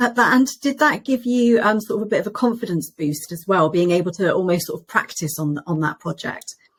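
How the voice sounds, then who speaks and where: Somewhat breathy, a woman with a British accent speaks at a medium pitch and a fairly quick pace, with lively intonation and hardly any pauses. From Britain. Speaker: podcast host, interior designer. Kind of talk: interview.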